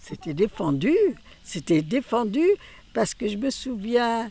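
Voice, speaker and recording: This woman's pitch swings very widely while she keeps a fairly slow pace. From Normandy, France. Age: 80s+. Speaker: eyewitness to wartime Lyon. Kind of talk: interview answer.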